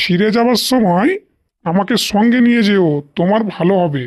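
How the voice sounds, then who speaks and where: A cartoonish character voice speaks at a fairly slow pace. Its pitch sits fairly high. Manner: friendly, helpful.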